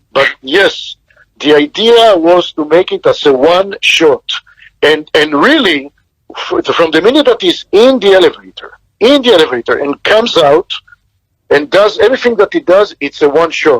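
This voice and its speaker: Speaking at a moderate pace with a non-native accent, a man uses a high pitch and very wide pitch swings, the sound dry and close with no echo. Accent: foreign. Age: 60s. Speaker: film director. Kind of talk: interview.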